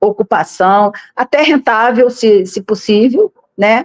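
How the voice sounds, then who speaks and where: A woman's fairly high voice with ordinary pitch variation, in a dry, close sound with no echo. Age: 60s. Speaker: political candidate. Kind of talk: interview. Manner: halting, with frequent repetitions.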